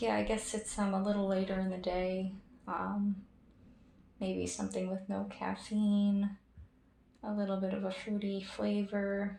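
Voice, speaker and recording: Soft-spoken and at a fairly slow pace, a woman talks at a medium pitch over noticeable background noise. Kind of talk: ASMR personal attention role play.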